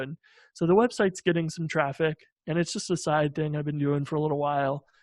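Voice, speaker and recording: Against a quiet background, a man with a fairly high pitch speaks at a fairly quick pace with fairly even intonation. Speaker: software developer and founder. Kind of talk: interview. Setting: video call. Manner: monotone.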